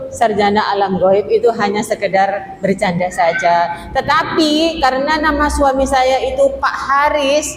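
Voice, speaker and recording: With music playing behind her and audible room echo, a woman talks at a fairly slow pace with a Madurese accent and lively intonation. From Madura. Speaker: female Islamic preacher. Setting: mosque. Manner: interactive, asks audience questions.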